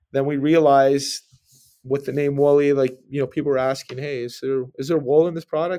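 Speaking with a Canadian accent, a man uses a fairly high pitch and a dark, mellow tone, moving at a fairly quick pace with monotone, flat intonation. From Ontario, Canada. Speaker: clothing company CEO and former pro football player. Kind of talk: interview. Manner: hesitant, many fillers and repeats.

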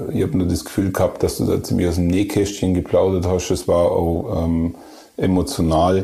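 In an Allgäu accent, a man with a very deep, low pitch talks at a moderate pace, his loudness very even and his intonation fairly even. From Germany, Allgäu. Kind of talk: casual chat.

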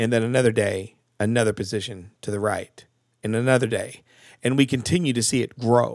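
Recorded very cleanly over a silent background, the voice moves at a moderate pace with ordinary pitch variation. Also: man, dry, close sound with no echo. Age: 40s. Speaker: podcast host. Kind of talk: interview conversation; casual monologue. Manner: hesitant, many fillers.

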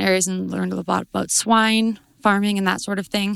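Fairly quickly and in a monotone, flat intonation, a woman with an Albertan accent speaks on a very clean recording with a silent background. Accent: Canadian (Alberta). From southern Alberta, Canada. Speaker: agriculture student. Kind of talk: interview. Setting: conference.

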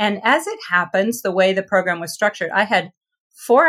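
A woman's medium-pitched voice in a Midwestern American accent, with ordinary pitch variation. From US Midwest, northeast Ohio. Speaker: author and former foreign correspondent. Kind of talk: interview.

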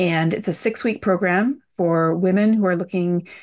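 A plain, everyday voice from a woman, fairly low in pitch with fairly even intonation, at a fairly slow pace against a quiet background. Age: 40s. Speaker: business and well-being mentor. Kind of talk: interview.

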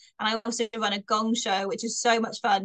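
The recording has a dry, close sound with no echo. A woman speaks at a fairly high pitch. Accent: slight Bristolian. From Bristol, England. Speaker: comedian. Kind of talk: casual chat. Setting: podcast interview.

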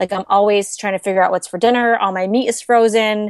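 A woman with a normal speaking voice talks at a fairly high pitch and a fairly quick pace. Her intonation is fairly even, and the background is quiet. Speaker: money-saving blogger. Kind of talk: interview.

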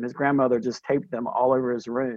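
A man speaks at a medium pitch. He has a North Carolina accent. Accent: North Carolina Southern. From US South, Durham, North Carolina. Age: 50s. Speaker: pre-K teacher and cancer survivor. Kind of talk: interview, personal storytelling.

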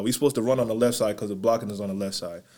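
With an American accent, a man is talking. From Syracuse, New York. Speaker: clothing brand owner. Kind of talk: casual chat.

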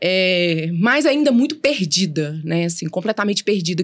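Speaking at a moderate pace, a woman has a fairly low pitch. It is a normal speaking voice. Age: 40s. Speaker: lawyer. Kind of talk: interview.

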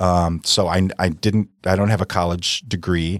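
In a very clean recording with a silent background and a dry, close sound with no echo, a man with an American accent talks at a fairly slow pace in a very deep, low pitch and a monotone, flat intonation. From US Midwest, South Milwaukee, Wisconsin. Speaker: real estate broker. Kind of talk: casual interview.

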